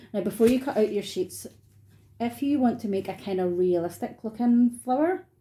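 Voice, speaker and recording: In a Scottish accent, a woman with a somewhat breathy voice, a dark, mellow tone and a fairly high pitch speaks at a moderate pace with lively intonation. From Scotland. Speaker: artist running craft workshops. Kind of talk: tutorial. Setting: home, dining room. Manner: casual, friendly.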